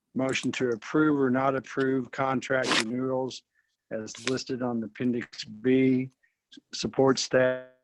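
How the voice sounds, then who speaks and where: His voice sits at a medium pitch. A man delivers it with monotone, flat intonation. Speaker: board president chairing meeting. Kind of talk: formal board meeting proceedings. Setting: online video meeting. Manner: slow, dragging audio.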